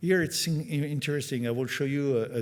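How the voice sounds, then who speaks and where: The speaker has a French accent and ordinary pitch variation. The recording is very clean, with a silent background. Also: man. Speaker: company executive at trade conference. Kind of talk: conference presentation. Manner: halting, many fillers.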